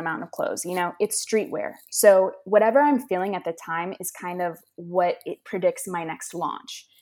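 A woman speaks in an ordinary speaking voice with an American accent, at medium pitch and a moderate pace. Her pitch varies in the usual way, and the recording is very clean with a silent background. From Los Angeles, California. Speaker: clothing brand founder, college student. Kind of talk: casual interview.

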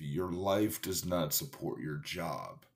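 Very deep and low, a man's voice moves at a very slow pace with lively intonation. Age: 30s. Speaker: podcast host, personal trainer. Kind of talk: motivational talk. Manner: casual, halting with fillers.

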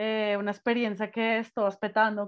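A woman with a Spanish accent and a fairly high pitch talks at a very slow pace. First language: Spanish (speaking Italian). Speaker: podcast host. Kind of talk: casual chat.

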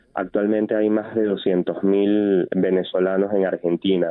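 The voice is a man's, fairly low in pitch. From Venezuela. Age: young. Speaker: photojournalist. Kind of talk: phone interview. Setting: phone call.

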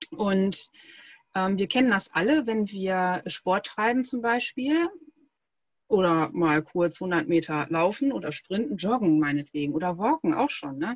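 Her pitch swings very widely around a medium level as a woman speaks at a fairly slow pace. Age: 30s. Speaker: breathing coach. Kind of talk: interview.

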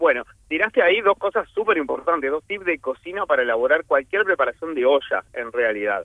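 A man speaks at a high pitch with very wide pitch swings. His pace is fairly quick, with hardly any pauses. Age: 40s. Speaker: chef. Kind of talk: casual radio interview, cooking tips.

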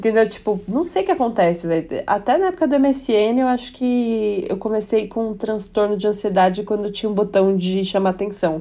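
A woman speaks at medium pitch with a dark, mellow tone and ordinary pitch variation. She keeps a moderate pace with hardly any pauses over a quiet background. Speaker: podcast co-host. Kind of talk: casual chat.

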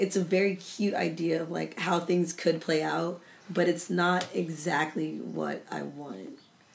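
A woman talks at a fairly slow pace with vocal fry. Her pitch sits fairly low. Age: 20s. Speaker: podcast host. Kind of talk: casual chat.

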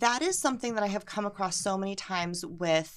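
This woman has an American accent and a plain, everyday voice, with medium pitch and ordinary pitch variation. She talks at a moderate pace on a very clean recording with a silent background. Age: 30s. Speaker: podcast guest. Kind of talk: casual chat.

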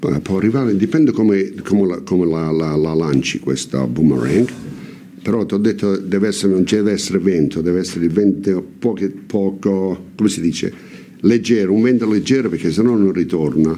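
With a very deep, low pitch, this man talks at a moderate pace and varies his pitch in an ordinary way. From Italy, San Marco in Lamis (Apulia). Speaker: emigrant guest. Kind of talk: casual chat. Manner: halting.

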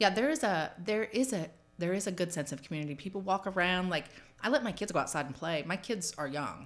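Recorded very cleanly against a silent background, a woman with an American accent speaks at a medium pitch, very fast, with lively intonation. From California and Georgia. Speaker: public housing resident in recovery. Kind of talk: interview testimony.

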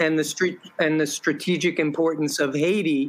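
Fairly slow and with fairly even intonation, a man talks at a fairly high pitch in a plain, everyday voice. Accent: American. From New York. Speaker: activist and teacher. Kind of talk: interview.

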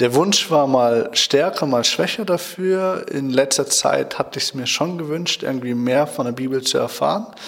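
A man talks at a moderate pace with fairly high pitch and ordinary pitch variation. Noticeable background noise sits behind his voice. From Germany, Schloss Holte (Westphalia). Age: 20s. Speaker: Bible school student. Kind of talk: radio interview. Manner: hesitant, many fillers.

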